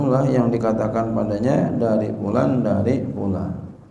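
A man's medium-pitched voice at a fairly slow pace with ordinary pitch variation, audible room echo and light background noise. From Indonesia. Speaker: Islamic cleric teaching a hadith text; religious teacher. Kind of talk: religious lecture, reading and explaining Arabic text. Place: hall. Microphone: podium.

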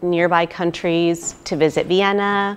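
Her intonation is monotone and flat. This woman's voice sits fairly low in pitch. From California, US. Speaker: IVF patient. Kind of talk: testimonial. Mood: happy, grateful. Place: hall.

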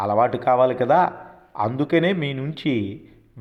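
The passage is read aloud in a natural voice.

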